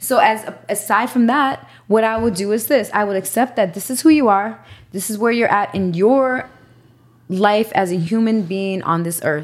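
A woman speaks in an animated tone at a fairly high pitch. Her pace is moderate, with ordinary pitch variation. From New York, Puerto Rican. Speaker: podcast guest. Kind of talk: casual chat.

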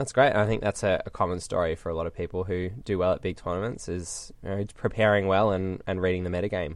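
Very fast and very deep, a man with an Australian accent speaks with fairly even intonation. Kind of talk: casual interview.

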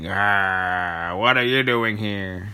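A man puts on a growling character voice at a fairly low pitch. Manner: snarling, menacing.

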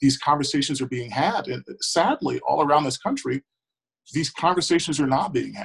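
This man has a fairly high pitch and an American accent. His voice is somewhat breathy, and he speaks at a moderate pace. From Milwaukee, Wisconsin, US Midwest. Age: 20s. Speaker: school board member. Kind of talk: interview.

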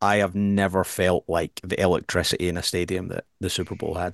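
A man with a Scottish accent talks at a very fast pace in a very deep, low, monotone voice, dry and close with no echo over a quiet background. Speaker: podcast co-host. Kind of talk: casual chat.

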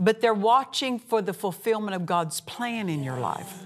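With music in the background, a woman speaks fairly slowly at a fairly high pitch. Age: 60s. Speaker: minister and Bible teacher. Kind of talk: sermon. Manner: animated.

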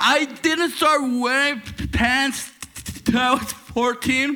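Over noticeable background noise, a man with an extremely high pitch speaks very slowly in a raised, projected voice with fairly even intonation. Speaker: comedian and emcee. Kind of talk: stand-up. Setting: stage with audience.

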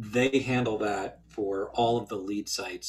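A man speaks with an American accent and fairly even intonation. His voice is somewhat breathy. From US, central northern New Jersey. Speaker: visual effects studio executive. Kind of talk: interview. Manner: hesitant, many fillers.

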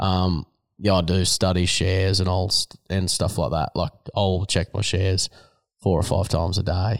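A man's very deep, low voice in a rural Australian accent, monotone and flat, very even in loudness, at a moderate pace, with a dry, close sound, no echo, in a very clean recording with a silent background. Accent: broad rural Australian. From Australia, rural New South Wales. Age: 30s. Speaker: horse trainer and rider. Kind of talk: interview. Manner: casual, halting with fillers.

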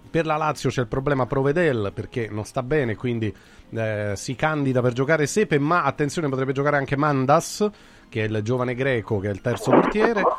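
A man in an ordinary speaking voice, medium pitch, lively intonation and a fairly quick pace. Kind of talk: sports talk radio. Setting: studio.

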